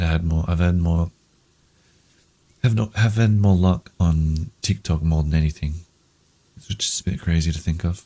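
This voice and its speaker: A man with a very deep, low pitch speaks at a moderate pace in a somewhat breathy voice. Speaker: gaming streamer. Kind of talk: casual gameplay commentary. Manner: monotone; halting, many pauses.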